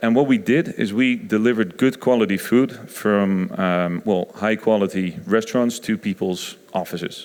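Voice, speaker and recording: With a Dutch accent, a man talks in a fairly low pitch with ordinary pitch variation. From Netherlands (Rotterdam). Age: 30s. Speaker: innovation consultant. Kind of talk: conference talk. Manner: hesitant, many fillers.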